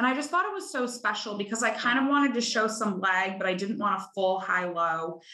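A woman with an American accent and a normal speaking voice talks at a fairly quick pace with hardly any pauses, her fairly high pitch showing ordinary variation. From Chicago. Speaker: bride sharing her wedding story. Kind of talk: casual interview chat.

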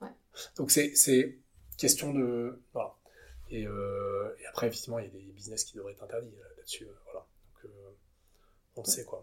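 Long, frequent pauses from a man speaking at a moderate pace. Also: big swings in loudness. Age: 30s. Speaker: entrepreneur, company co-founder. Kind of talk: interview conversation. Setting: company offices. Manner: halting, many repetitions and fillers.

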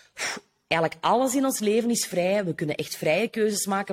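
With lively intonation, the voice moves along at a fairly quick clip. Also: woman. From Flanders, Belgium (Noorderkempen). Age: 30s. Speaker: business coach. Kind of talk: casual interview.

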